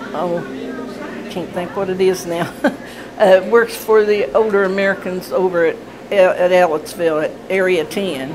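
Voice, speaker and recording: With long, frequent pauses, the speaker talks in a Southern Indiana accent over noticeable background noise. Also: woman, medium pitch for a woman, fairly even intonation, moderate pace. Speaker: retired factory worker. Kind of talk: interview answer.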